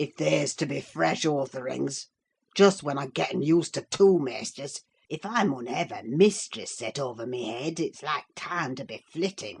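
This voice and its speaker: A put-on character voice, rumbling and low-to-middle in pitch, at a moderate pace. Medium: read story. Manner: muttering, grumbling.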